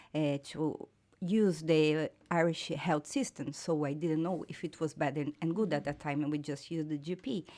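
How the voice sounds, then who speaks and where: This woman has a very deep, low pitch and a dark, mellow tone. She talks at a moderate pace with fairly even intonation. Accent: Portuguese. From Brazil. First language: Portuguese. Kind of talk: casual chat. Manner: halting.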